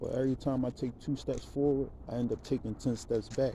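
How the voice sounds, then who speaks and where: Medium-pitched male voice with a dark, mellow tone and flat, monotone intonation. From Philadelphia, US. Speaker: aspiring rapper. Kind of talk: self-introduction monologue. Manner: hesitant, many fillers.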